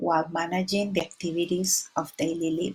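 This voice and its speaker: A woman with a Spanish accent speaks at a fairly low pitch and a moderate pace, somewhat breathy and with ordinary pitch variation. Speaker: community resilience trainer. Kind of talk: presentation.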